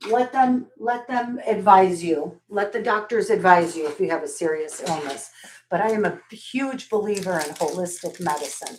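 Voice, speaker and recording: A woman with a plain, everyday voice talks at a moderate pace, her medium pitch carried by lively intonation. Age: 60s. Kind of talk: live sales stream, casual chat. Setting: live video stream. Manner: warm, chatty.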